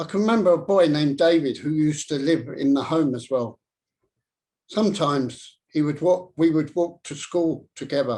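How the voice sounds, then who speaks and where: A man with an English accent and a dark, mellow tone speaks at a fairly high pitch and moderate pace with ordinary pitch variation. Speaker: public speaker. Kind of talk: speech. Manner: stammer.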